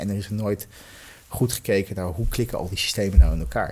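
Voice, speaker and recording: Vocal fry runs through the man's voice. He talks at a very fast pace. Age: 40s. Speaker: executive in health technology. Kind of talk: podcast interview. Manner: halting, many fillers.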